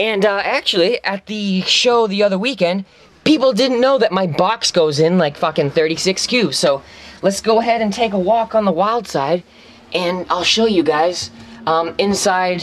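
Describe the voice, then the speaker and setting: A man speaks at a fairly slow pace in a high pitch. His loudness is very even and his pitch variation ordinary. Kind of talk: casual vlog chat. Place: car. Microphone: phone near.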